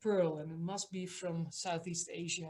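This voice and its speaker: With a Dutch accent, a woman speaks in a somewhat breathy voice and fairly even intonation. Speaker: museum director. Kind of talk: online talk. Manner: hesitant, many fillers.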